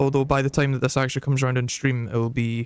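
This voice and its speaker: A man with a Scottish accent speaks at a medium pitch and a fairly quick pace. His intonation is monotone and flat, and the sound is dry and close with no echo. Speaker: gaming streamer. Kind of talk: casual live stream chat. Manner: hesitant, many fillers.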